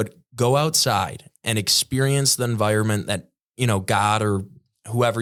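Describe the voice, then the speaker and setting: A man with a normal speaking voice talks at a fairly low pitch with ordinary pitch variation in a very clean recording with a silent background. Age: young. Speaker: son of the host, podcast guest. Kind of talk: casual chat.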